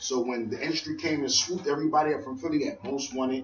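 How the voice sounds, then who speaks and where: A man speaks very fast in a fairly high voice with ordinary pitch variation, noticeable background noise behind him. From Philadelphia. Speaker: rapper. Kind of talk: radio interview.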